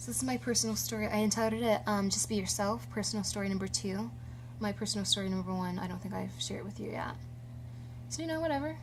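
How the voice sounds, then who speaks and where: A woman at a very fast pace, with audible room echo. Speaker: vlogger. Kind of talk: personal story vlog. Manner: casual with many fillers.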